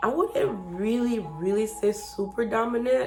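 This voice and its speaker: Music plays in the background, and audible room echo surrounds the voice. A woman speaks at a fairly high pitch with lively intonation. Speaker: channel owner. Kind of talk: casual chat. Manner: loud.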